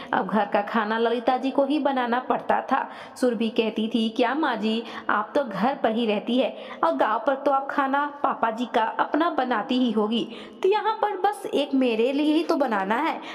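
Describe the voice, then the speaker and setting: Over noticeable background noise, a woman speaks at a high pitch with very even loudness. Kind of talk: storytelling narration.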